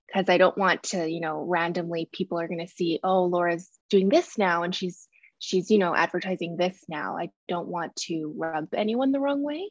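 The sound is dry and close with no echo as a woman speaks in an ordinary speaking voice with ordinary pitch variation. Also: fairly low pitch for a woman, moderate pace, quiet background. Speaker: coaching member asking question. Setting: video call.

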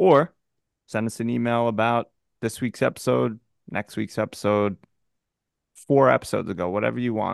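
A man speaks at a medium pitch with ordinary pitch variation, leaving long, frequent pauses. The sound is dry and close with no echo, and the background is quiet. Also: moderate pace. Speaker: podcast co-host. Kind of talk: casual chat.

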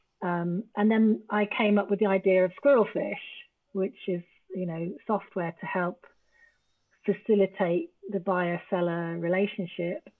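Someone with an English accent speaks at a fairly slow pace with fairly even intonation. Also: woman, medium pitch for a woman. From England. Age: 50s. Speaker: travel business founder. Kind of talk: casual chat.

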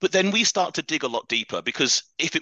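With a British accent, a man speaks in a bright, sharp tone, the sound dry and close with no echo. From England, Leicestershire. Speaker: fitness coach, podcast host. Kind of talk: interview guest, casual chat.

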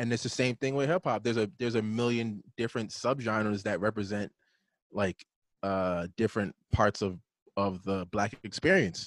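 With a plain, everyday voice, a man speaks at a fairly low pitch and moderate pace, his pitch varying in an ordinary way, in a dry, close sound with no echo. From New York, Brooklyn. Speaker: music producer and drummer. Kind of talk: casual chat. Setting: video call.

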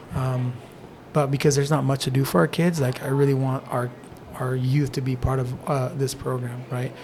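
Over noticeable background noise, a man at a medium pitch talks in a monotone, flat intonation. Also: moderate pace. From eastern Oregon (Nyssa), born in Mexico. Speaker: jiu jitsu gym owner and Spanish teacher. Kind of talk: podcast interview.

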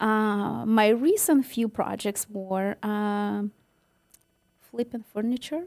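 Speech unfolds at a very slow pace, the pitch varying in an ordinary way. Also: woman, fairly high pitch for a woman. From western Ukraine. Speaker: new home sales rep. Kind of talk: casual interview chat.

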